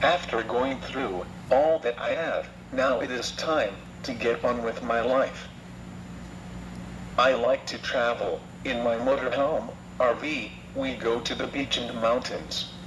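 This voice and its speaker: Amid noticeable background noise, a man speaks at a fairly slow pace with long, frequent pauses. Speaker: laryngectomy survivor and anti-smoking speaker. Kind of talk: testimony. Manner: slow, halting device speech.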